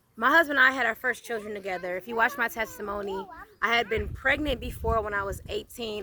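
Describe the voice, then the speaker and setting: There is noticeable background noise as a woman speaks in a fairly high voice. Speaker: channel owner sharing personal testimony. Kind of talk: casual interview and testimony. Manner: stutters when emotional.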